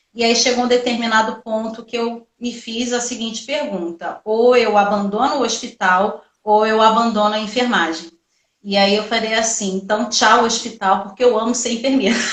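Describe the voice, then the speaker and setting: A woman with a Rio de Janeiro accent, fairly high in pitch, her intonation fairly even. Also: moderate pace. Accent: carioca. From Rio de Janeiro, Brazil. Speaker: nurse and entrepreneurship teacher. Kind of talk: live stream talk. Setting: online live stream. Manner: talkative.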